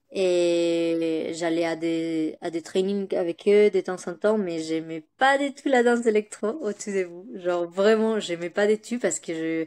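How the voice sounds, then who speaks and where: Speaking with a Spanish accent, a woman with a medium pitch and a dark, mellow tone talks at a very slow pace with ordinary pitch variation. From Spain, Bilbao, Basque Country. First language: Spanish (speaking French). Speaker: dancer. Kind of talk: interview. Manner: halting, many hesitations.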